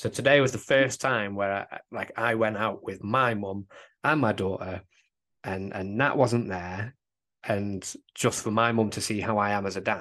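In an English accent, a man with a bright, sharp tone and a fairly low pitch speaks with fairly even intonation over a quiet background. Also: moderate pace. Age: 20s. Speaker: father, works with teenagers. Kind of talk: casual chat.

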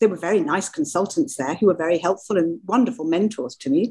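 The delivery is very fast, with lively intonation. The voice sounds somewhat breathy. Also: woman. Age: 60s. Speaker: doctor specialising in women's health. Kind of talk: interview.

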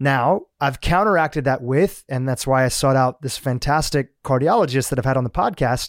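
Over a very clean recording with a silent background and a dry, close sound with no echo, a man with an American accent and an ordinary speaking voice talks at a moderate pace with hardly any pauses, medium pitch and ordinary pitch variation. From US, Gujarati family from Kenya. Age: 40s. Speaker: podcast host. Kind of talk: interview.

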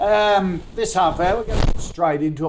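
A man with an Australian accent. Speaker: business radio host. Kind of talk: live stock-picking talk show. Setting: studio.

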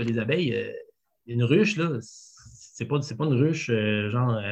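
With a somewhat breathy, fairly high voice, a man speaks in lively intonation. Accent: Quebec. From Quebec City region, Quebec. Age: 40s. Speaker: food entrepreneur. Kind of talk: interview. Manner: hesitant, many fillers.

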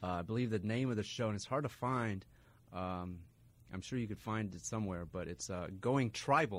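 A man with a plain, everyday voice and a fairly low pitch, with ordinary pitch variation. He speaks at a moderate pace on a very clean recording with a silent background. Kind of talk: radio DJ patter: bright show intro and back-announcing, repeating the text number. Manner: upbeat, clear, relaxed and conversational.

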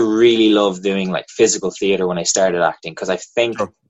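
This man speaks in a fairly low voice with an American accent. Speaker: acting teacher and filmmaker. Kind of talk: interview.

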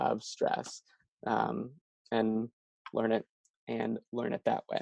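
The man's voice comes through with a dry, close sound and no echo. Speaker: speech-language pathologist. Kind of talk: casual chat. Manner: halting.

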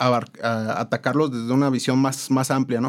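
A man's voice at a medium pitch. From Mexico, raised in Morelia, Michoacán. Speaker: architect. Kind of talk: interview. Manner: halting, many repetitions.

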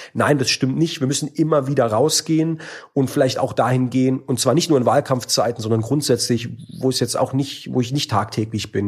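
A somewhat breathy man at medium pitch, speaking at a very fast pace with fairly even intonation. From Baden-Württemberg, Germany. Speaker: member of parliament. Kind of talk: interview. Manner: casual, many fillers.

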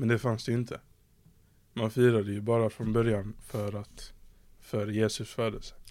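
A man with a medium pitch and a dark, mellow tone speaks in a flat monotone. His pace is moderate, broken by long, frequent pauses. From southern Sweden, Skåne. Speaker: podcast host. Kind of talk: casual chat.

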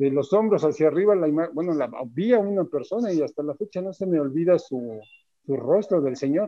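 A man talks at a fairly quick pace, his fairly high pitch moving with lively intonation. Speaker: stagehand. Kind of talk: casual chat.

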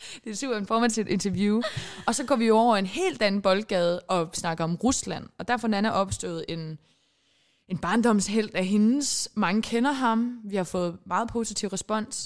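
The recording is very clean, with a silent background. A woman speaks at a fairly slow pace with ordinary pitch variation. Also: fairly high pitch for a woman. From Denmark, Sønderborg (Southern Jutland), Icelandic parents. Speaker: podcast co-host. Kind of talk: casual chat. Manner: animated.

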